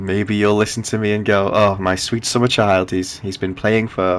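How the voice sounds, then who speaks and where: An ordinary speaking voice keeps to a moderate pace. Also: man. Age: 20s. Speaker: gaming youtuber. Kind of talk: gameplay commentary. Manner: casual with filler words.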